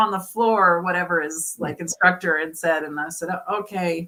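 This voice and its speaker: A woman with an American accent speaks at a moderate pace in a bright, sharp, animated tone, her pitch varying in an ordinary way. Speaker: martial artist. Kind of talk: casual interview chat. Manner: animated storytelling.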